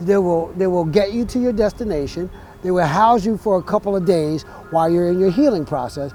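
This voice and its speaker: With music in the background, a man with an American accent speaks fairly quickly at a high pitch with ordinary pitch variation. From New Jersey. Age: 60s. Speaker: dental patient. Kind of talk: testimonial interview. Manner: halting, repeats words.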